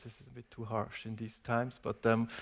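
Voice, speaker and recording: A man speaks at a medium pitch with a non-native accent. His pace is fairly quick. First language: not English. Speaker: transport company executive. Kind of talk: panel discussion. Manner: hesitant, many fillers.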